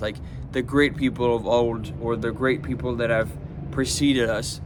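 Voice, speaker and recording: A man with a medium pitch speaks at a moderate pace. Room echo can be heard. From France. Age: 20s. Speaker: self-improvement vlogger. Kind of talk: casual monologue. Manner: hesitant, many fillers and repetitions.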